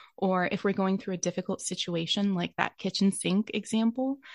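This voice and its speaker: A woman speaks at a moderate pace, somewhat breathy, with fairly even intonation. The background is quiet. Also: dry, close sound with no echo. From Romania, raised there as a missionary kid. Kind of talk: interview conversation.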